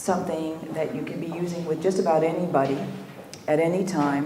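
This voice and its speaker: A soft-spoken woman with a fairly low pitch talks at a moderate pace with fairly even intonation. The recording has noticeable background noise and audible room echo. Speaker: EMDR trainer. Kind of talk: lecture.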